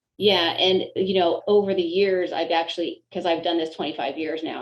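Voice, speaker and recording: With a plain, everyday voice, a woman talks in a fairly low pitch using fairly even intonation. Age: 60s. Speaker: chiropractor and former Olympic gymnast. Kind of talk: casual interview.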